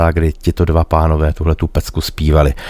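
In a Czech accent, a man with a dark, mellow tone talks at a moderate pace. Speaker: radio host and musician. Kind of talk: radio DJ patter introducing songs. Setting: radio studio. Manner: warm, chatty, relaxed.

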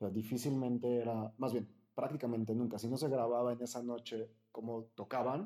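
A man talks at a moderate pace in a dark, mellow tone. His intonation stays monotone and flat. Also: medium pitch for a man. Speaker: podcast host. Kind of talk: interview.

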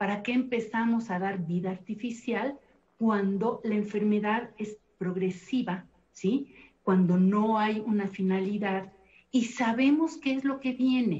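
At a fairly slow pace, a woman talks in a fairly high, somewhat breathy voice with ordinary pitch variation. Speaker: thanatologist and family counselor. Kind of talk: televised panel discussion. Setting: video call.

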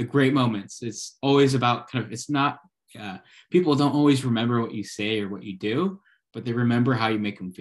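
In a plain, everyday voice, a man talks at a medium pitch and a fairly quick pace, with ordinary pitch variation and big swings in loudness. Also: very clean recording, silent background. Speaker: podcast host. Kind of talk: casual interview.

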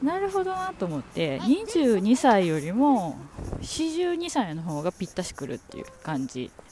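A woman with a fairly high pitch speaks at a fairly slow pace, using very wide pitch swings and big swings in loudness amid noticeable background noise. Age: 40s. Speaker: podcaster. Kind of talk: casual chat. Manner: rambling, relaxed.

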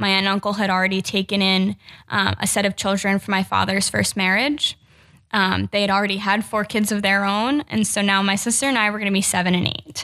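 A woman with an American accent talks at a fairly quick pace in a bright, sharp tone. Her loudness stays very even. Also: medium pitch for a woman, fairly even intonation, very clean recording, silent background. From New Jersey. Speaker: policy researcher, former foster youth. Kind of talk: personal testimony in podcast interview.

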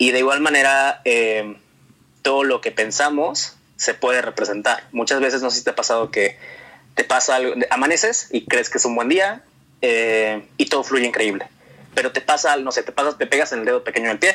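A man uses a normal speaking voice at medium pitch, with ordinary pitch variation and a moderate pace. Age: 20s. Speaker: singer and former youtuber. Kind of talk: casual interview. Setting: call over the internet.

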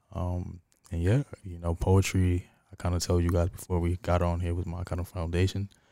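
A man with a New York accent talks at a moderate pace in a very deep, low, dark and mellow voice, with monotone, flat intonation. The recording is very clean and dry, close with no echo, over a silent background. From New York, Harlem. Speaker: poet and filmmaker. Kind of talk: casual chat.

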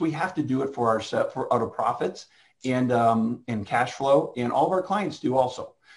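A man with a fairly high pitch sounds somewhat breathy, his pitch varying in an ordinary way. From Canada, Toronto. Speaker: physician and healthcare company co-founder. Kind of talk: conference keynote presentation.

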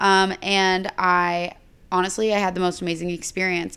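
A woman with an American accent speaks at a fairly low pitch in a monotone, flat way. The recording is very clean, with a silent background. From Texas (Bryan College Station), later Indiana. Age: 20s. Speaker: influencer. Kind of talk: casual chat.

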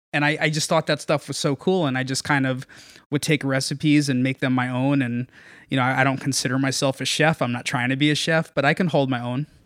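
Fast-talking at a very fast pace, a man with an American accent uses a fairly high pitch and fairly even intonation. The sound is dry and close, with no echo, in a very clean recording with a silent background. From Norwalk, Connecticut. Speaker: food journalist. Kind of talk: casual chat. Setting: in person in host's apartment.

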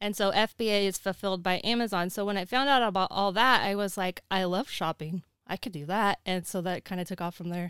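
A plain, everyday voice with an American accent moves at a fairly quick pace with hardly any pauses and fairly even intonation. The recording is very clean, with a silent background. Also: woman, medium pitch for a woman. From Oregon, US Northwest. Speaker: online seller and YouTuber. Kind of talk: casual interview chat. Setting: in person in an RV.

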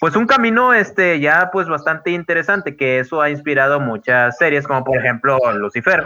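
A man's fairly high, bright and sharp voice with lively intonation at a moderate pace. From Guadalupe, Monterrey area, Mexico. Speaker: podcast co-host. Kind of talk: casual chat. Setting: online voice call.

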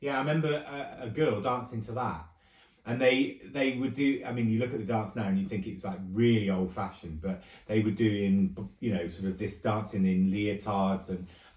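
Pitch varies in an ordinary way at a moderate pace. The delivery sounds somewhat breathy. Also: man, fairly low pitch for a man. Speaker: host's relative, reminiscing. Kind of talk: casual chat. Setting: secretly recorded at home.

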